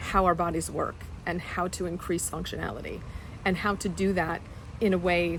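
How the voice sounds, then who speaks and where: A woman is speaking. Her pace is fairly slow. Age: 60s. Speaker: fitness client. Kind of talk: testimonial interview answer. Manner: hesitant, filler-heavy.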